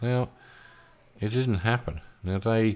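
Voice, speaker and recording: Here a man speaks with an Australian accent. He keeps a moderate pace. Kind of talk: solo podcast monologue.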